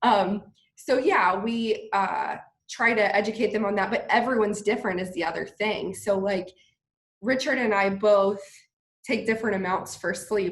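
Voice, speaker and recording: A woman with a plain, everyday voice speaks at medium pitch and a moderate pace with fairly even intonation. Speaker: physical therapist and CBD business owner. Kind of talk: interview.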